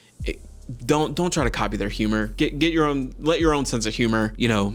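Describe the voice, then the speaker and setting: A man talks at a fairly quick pace with audible room echo. Music plays in the background. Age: 30s. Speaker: YouTube content creator. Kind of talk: casual talking-head vlog. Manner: fast; relaxed, conversational.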